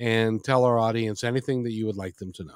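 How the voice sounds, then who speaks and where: The recording sounds dry and close, without any echo. A man is speaking. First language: not English. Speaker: radio host. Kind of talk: interview. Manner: halting.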